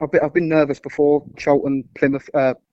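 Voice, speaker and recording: The speech comes at a moderate pace with a London accent. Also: man. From London (Wimbledon). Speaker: football fan. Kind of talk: casual chat.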